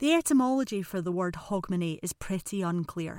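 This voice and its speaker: A woman with an Edinburgh accent, medium pitch and a fairly quick pace, in a dry, close sound with no echo. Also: very clean recording, silent background. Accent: Scottish (Edinburgh). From Scotland, Edinburgh. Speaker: podcast host. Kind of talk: scripted narration.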